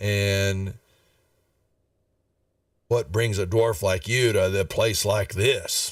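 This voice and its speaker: In a raspy put-on character voice, a man speaks very slowly at a fairly low pitch, with long, frequent pauses. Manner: seductive.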